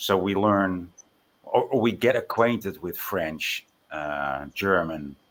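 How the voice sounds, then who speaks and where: In a slight Dutch accent, a man speaks at a very slow pace with a very deep, low pitch and ordinary pitch variation. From Netherlands. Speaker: Bible chat participant. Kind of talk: casual chat. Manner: halting.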